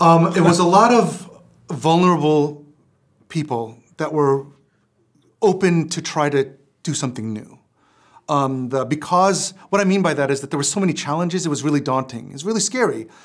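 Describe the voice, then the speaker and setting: Over a quiet background, the speech runs at a moderate pace with ordinary pitch variation and long, frequent pauses. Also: man, fairly high pitch for a man. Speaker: film director. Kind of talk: interview answer. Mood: reflective, earnest. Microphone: lapel.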